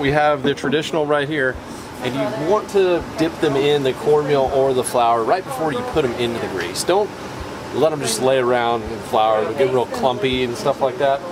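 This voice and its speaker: Male speech, moderate pace, noticeable background noise throughout. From US South. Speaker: cooking video host. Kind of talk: cooking tutorial. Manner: animated.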